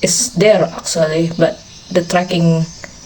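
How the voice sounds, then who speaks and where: Against noticeable background noise, a woman talks at a fairly low pitch. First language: not English. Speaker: anime reaction streamer. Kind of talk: casual reaction commentary. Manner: halting.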